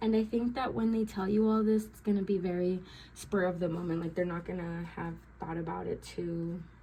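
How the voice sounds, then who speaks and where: At a fairly quick pace, a woman talks in an ordinary speaking voice, fairly low in pitch with ordinary pitch variation. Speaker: tarot reader. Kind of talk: tarot reading. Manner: filler-heavy, many ums.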